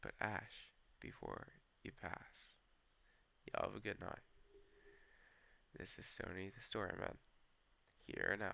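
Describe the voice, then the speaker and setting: The speech comes at a fairly slow pace, broken by long, frequent pauses. The voice is shaky. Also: man. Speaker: storyteller. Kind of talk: casual storytelling. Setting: outdoors on a porch. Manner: shaky voice.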